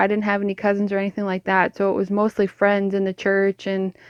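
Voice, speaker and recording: In a Canadian accent, a woman with an unremarkable speaking voice and medium pitch talks at a fairly quick pace, the sound dry and close with no echo against a quiet background. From Canada, northern Ontario. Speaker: podcast co-host sharing faith journey. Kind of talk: casual faith testimony. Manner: casual, filler-heavy.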